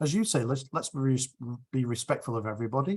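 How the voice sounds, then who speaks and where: A man's fairly quick speech sounds somewhat breathy. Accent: English. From England, Sheffield and Chelmsford. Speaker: rotary speaker. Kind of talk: q&a discussion.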